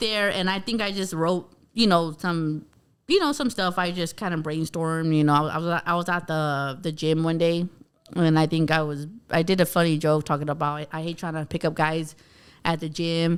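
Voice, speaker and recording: In a very clean recording over a silent background, a woman with an American accent speaks at a fairly low pitch. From Bakersfield, California. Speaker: stand-up comedian. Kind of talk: casual chat. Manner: fast.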